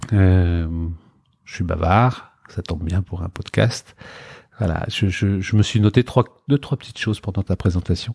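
A man speaks in a very deep, low, somewhat breathy voice with ordinary pitch variation and long, frequent pauses. The recording is very clean, with a silent background and a dry, close sound with no echo. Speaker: entrepreneur. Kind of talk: interview. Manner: halting, many repetitions; talkative.

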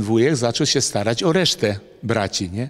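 Just a man, with a quiet background. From Lithuania. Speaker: former Olympic wrestler. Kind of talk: casual interview, storytelling. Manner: conversational, colloquial, with fillers. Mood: calm, reflective. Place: gym. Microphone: handheld.

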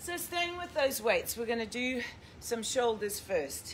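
A woman speaks with very wide pitch swings. Light background noise can be heard. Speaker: fitness instructor. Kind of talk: workout instruction. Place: gym. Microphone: camera far.

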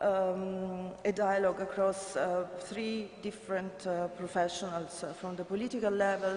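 Audible room echo surrounds a voice with an Italian accent, moving at a moderate pace. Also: woman. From Italy. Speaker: government heritage official; conference presenter. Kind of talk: conference report. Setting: conference stage with audience. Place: hall. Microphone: podium.

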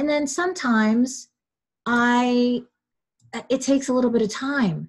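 A woman is speaking here. Her pace is fairly slow. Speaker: webinar host and relationship coach. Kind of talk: guided visualization, calm coaching. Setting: video call. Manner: soothing, slow, instructive; casual, chatty.

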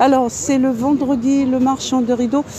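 A woman's high-pitched voice at a very slow pace, dry with no echo, with noticeable background noise. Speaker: vlogger. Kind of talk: live stream market walkthrough. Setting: outdoors at a market. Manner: animated. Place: market. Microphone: phone near.

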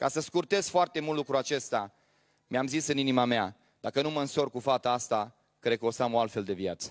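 Over a quiet background, a man talks at a fairly quick pace in a medium pitch with ordinary pitch variation. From Romania. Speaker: pastor. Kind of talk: sermon. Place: church. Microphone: handheld.

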